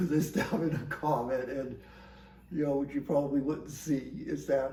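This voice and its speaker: Noticeable background noise surrounds a man's voice. He speaks at a medium pitch and a moderate pace. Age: 60s. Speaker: scientist working on satellite instrument data. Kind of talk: casual talk to camera.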